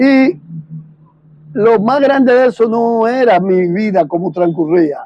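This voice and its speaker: A man's very slow delivery with ordinary pitch variation. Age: 60s. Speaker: war veteran. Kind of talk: testimony.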